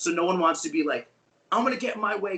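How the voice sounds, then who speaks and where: Speech comes at a very fast pace with an American accent. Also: man. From New York. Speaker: guitarist in a band. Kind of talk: interview chat. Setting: video call.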